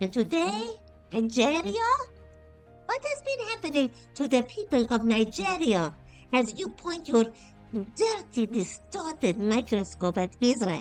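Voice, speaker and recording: In a put-on character voice, a female-sounding speaker talks high and fairly slowly with long, frequent pauses while faint music plays in the background. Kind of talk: opinion monologue to camera. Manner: scolding, indignant.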